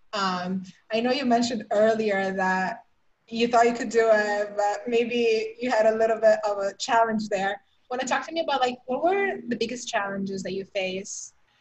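An American accent at a moderate pace, in a normal speaking voice. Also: woman, fairly high pitch for a woman, ordinary pitch variation. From outside the US. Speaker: podcast host. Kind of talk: interview.

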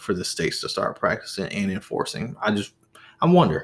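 This man has an unremarkable speaking voice with an American accent, a fairly low pitch and lively intonation. He speaks at a moderate pace in a very clean recording with a silent background. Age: 20s. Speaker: podcast host. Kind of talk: solo podcast monologue. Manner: casual.

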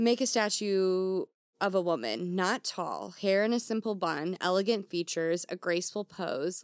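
Heard on a very clean recording with a silent background and a dry, close sound with no echo, a woman of medium pitch speaks in an unremarkable speaking voice at a fairly slow pace. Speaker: podcast co-host. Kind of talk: casual chat.

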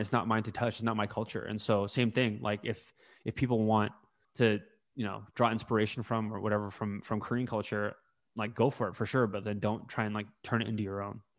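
A man at medium pitch with a Californian accent, very fast, against a quiet background. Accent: Californian American English. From California, US (Bay Area). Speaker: podcast co-host. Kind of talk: casual discussion.

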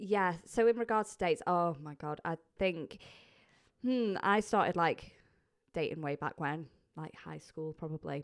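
A woman's fairly low voice at a moderate pace, with long, frequent pauses, big swings in loudness and ordinary pitch variation, on a very clean recording with a silent background. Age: 20s. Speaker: podcast guest host. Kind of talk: casual chat. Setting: studio.

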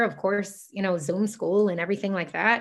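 Ordinary pitch variation runs through the speech. It comes in an ordinary speaking voice. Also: woman, quiet background. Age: 20s. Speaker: law student. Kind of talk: interview.

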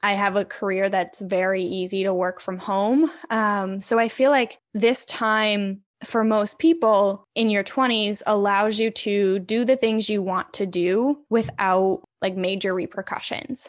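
A woman with an American accent and a plain, everyday voice speaks at a fairly slow pace and medium pitch, with ordinary pitch variation, hardly any pauses and a quiet background. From Connecticut. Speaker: marketer and podcaster. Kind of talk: casual interview chat.

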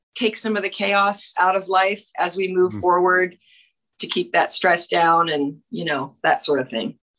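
Here is a woman in a normal speaking voice at medium pitch. She talks at a fairly slow pace with ordinary pitch variation. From Canada. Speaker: country singer-songwriter. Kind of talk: interview. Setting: video call.

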